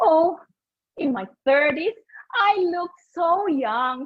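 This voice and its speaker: A woman is speaking. Her voice sits high in pitch. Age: 50s. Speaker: public speaking contestant. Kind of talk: humorous speech.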